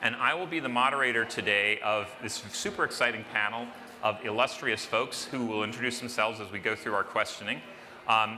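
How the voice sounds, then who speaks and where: A man with a medium pitch and ordinary pitch variation at a moderate pace, with noticeable background noise and audible room echo. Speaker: panel moderator. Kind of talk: conference panel introduction. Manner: loud.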